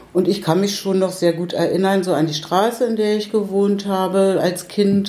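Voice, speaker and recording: A woman with a medium pitch talks at a moderate pace with hardly any pauses, over noticeable background noise and audible room echo. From Berlin (Pankow), East Germany. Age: 70s. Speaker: retired social worker, widow of an artist. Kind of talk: casual interview. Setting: at her home. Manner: halting.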